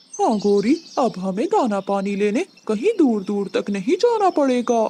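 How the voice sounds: This is a cartoonish character voice, female-sounding and fairly high in pitch. It moves at a fairly slow pace.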